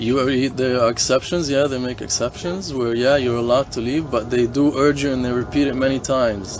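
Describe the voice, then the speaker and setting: With music in the background, a man of medium pitch talks in a fairly even intonation. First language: not English. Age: 40s. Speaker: hostel guest. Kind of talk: casual chat. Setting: hostel gathering around a campfire.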